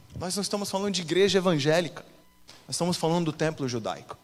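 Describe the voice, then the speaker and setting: A man's voice against noticeable background noise. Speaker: pastor. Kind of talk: sermon. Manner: animated.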